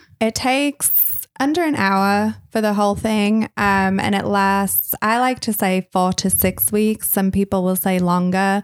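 A normal speaking voice at a fairly slow pace, with hardly any pauses, very even loudness and fairly even intonation, in a dry, close sound with no echo on a very clean recording with a silent background. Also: woman, medium pitch for a woman. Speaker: eyebrow beauty technician. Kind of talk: casual chat.

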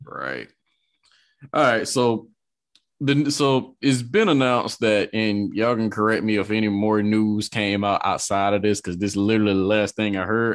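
On a very clean recording with a silent background, a man has an ordinary speaking voice, fairly low in pitch with ordinary pitch variation. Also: moderate pace. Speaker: podcast host and producer. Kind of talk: casual podcast hosting. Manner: relaxed, upbeat.

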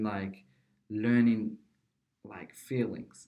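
A man with a Somali accent speaks at a medium pitch in a dark, mellow tone with fairly even intonation. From Somalia. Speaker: college student and YouTuber. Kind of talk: casual interview. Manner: halting, many fillers.

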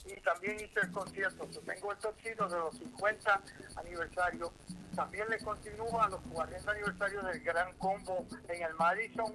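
Using a raised, projected voice, a man with a high pitch speaks at a moderate pace and with fairly even intonation. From New York. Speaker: musician. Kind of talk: casual interview.

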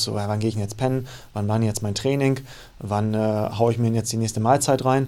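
A man's fairly quick speech in a monotone, flat intonation. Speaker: fitness coach. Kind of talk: casual chat. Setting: studio. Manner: hesitant, many fillers.

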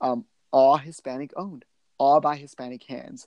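A man with a Texan accent talks at a medium pitch against a quiet background. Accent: Texan American English. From Texas, Lubbock. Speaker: political activist. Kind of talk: interview.

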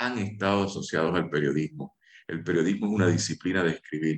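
The recording has a dry, close sound with no echo, carrying a plain, everyday voice with ordinary pitch variation. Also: man. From Puerto Rico. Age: 50s. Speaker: lawyer and writer. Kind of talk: radio interview.

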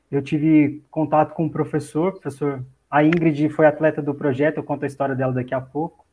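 Fairly quick and somewhat breathy, a man talks at a fairly high pitch in a monotone, flat intonation. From Brazil, Minas Gerais (Itajubá). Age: 30s. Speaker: athletics coach and sports science researcher. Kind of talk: casual interview.

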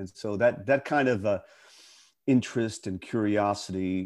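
In a very clean recording with a silent background, a man with an American accent speaks in a plain, everyday voice, fairly low in pitch with ordinary pitch variation. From western Pennsylvania. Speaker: actor. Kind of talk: interview conversation.

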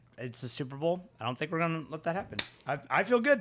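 The man's tone is bright and sharp, and he has an American accent. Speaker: guest. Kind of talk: casual chat.

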